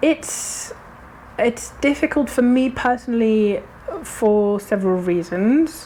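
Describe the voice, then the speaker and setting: Through noticeable background noise, the speaker goes at a very slow pace with lively intonation. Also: woman, fairly high pitch for a woman. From Germany. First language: German. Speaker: actor and director. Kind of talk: casual interview chat. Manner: hesitant, many fillers and restarts.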